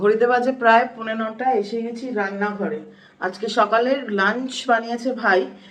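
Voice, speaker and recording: A woman speaks at a fairly high pitch with fairly even intonation. Background noise is noticeable. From Kolkata. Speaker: lawyer. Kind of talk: casual vlog talk to camera.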